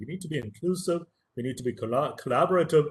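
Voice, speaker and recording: This man talks with a Tamil accent at a fairly high pitch, his intonation lively and his voice somewhat breathy. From India, Tamil-speaking. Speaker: professor. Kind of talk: lecture.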